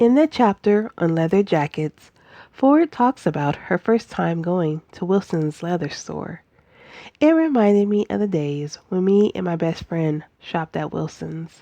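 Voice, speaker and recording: A woman's fairly low, dark and mellow voice, fairly slow in pace, with lively intonation. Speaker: book reviewer. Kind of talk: book review talk to camera.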